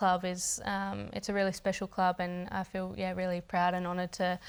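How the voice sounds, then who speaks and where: A woman with an Australian accent speaks at a medium pitch in a monotone, flat intonation on a very clean recording with a silent background. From Australia, Adelaide. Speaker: professional footballer. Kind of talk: interview. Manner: halting.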